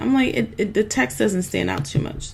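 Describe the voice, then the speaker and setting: A woman talks in an animated tone with vocal fry and very wide pitch swings. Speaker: online business coach. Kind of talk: screen-share tutorial. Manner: chatty, animated.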